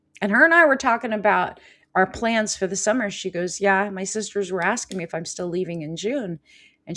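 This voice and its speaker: A woman with an American accent uses an unremarkable speaking voice at medium pitch, ordinary pitch variation and a moderate pace, on a very clean recording with a silent background. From California. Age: 50s. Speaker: life coach and healer. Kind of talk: live show chat.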